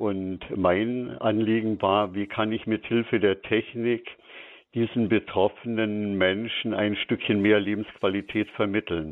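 The speech moves at a very slow pace, with fairly even intonation. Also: man, fairly low pitch for a man. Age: 70s. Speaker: medical supply technician. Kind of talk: radio interview. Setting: phone call.

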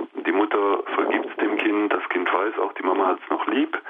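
Noticeable background noise behind a man talking at a moderate speed. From Lower Rhine, Germany (Mönchengladbach). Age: 50s. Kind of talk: radio interview.

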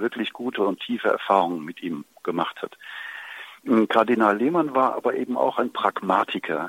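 Lively intonation runs through an ordinary speaking voice delivered at a moderate pace. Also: man. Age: 60s. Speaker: priest. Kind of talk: interview.

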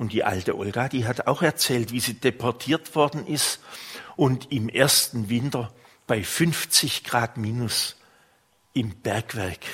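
At a very slow pace, a man speaks in a warm tone at medium pitch with ordinary pitch variation. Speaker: priest. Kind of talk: sermon. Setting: church. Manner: warm, unhurried storytelling, pastoral and personal.

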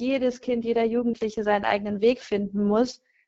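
A woman's fairly high voice in a flat, monotone delivery. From Bonn, western Germany. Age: 30s. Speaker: consecrated laywoman and youth leader. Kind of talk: radio call-in discussion. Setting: remote line into radio studio.

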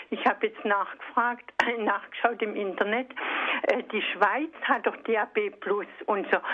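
A woman's fairly high-pitched voice at a fairly slow pace, over noticeable background noise. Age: 60s. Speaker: radio listener caller. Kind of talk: phone-in complaint. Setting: phone call. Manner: halting.

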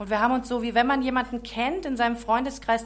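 The voice belongs to a woman. Vocal fry runs through her speech. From Czech Republic. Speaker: author. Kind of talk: testimony.

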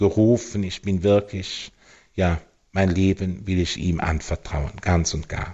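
A man talks at a very slow pace. His voice is very deep and low. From Germany, Eifel region. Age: 50s. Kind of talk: radio interview. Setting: phone call. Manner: hesitant, with fillers.

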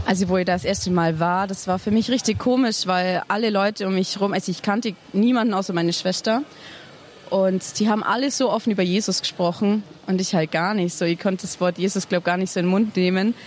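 The woman talks at a very fast pace. Her loudness stays very even and her intonation fairly even. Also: medium pitch for a woman. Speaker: youth pilgrim. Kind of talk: interview testimony. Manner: hesitant, many fillers.

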